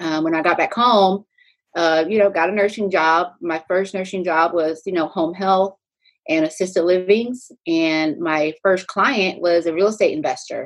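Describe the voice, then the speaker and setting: Speaking at a fairly slow pace, a woman with a medium pitch has a plain, everyday voice and ordinary pitch variation. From Texas, Pflugerville. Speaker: real estate agent and nurse. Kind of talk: casual interview.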